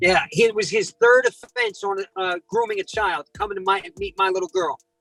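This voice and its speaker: A high-pitched man with a New Jersey accent and an animated tone, dry and close with no echo, music in the background. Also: moderate pace. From South Jersey. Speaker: predator catcher and prank caller. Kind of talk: interview storytelling.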